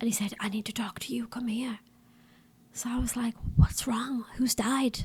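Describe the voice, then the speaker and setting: A woman with a strong Middlesbrough accent, fairly high in pitch, at a moderate pace. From northern England, Middlesbrough. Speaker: missionary and podcast host. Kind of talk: interview answers, casual chat.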